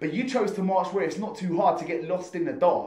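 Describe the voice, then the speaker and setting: A man talks with a high pitch and ordinary pitch variation. Noticeable background noise runs underneath. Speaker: spoken word poet. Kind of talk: spoken word performance poetry.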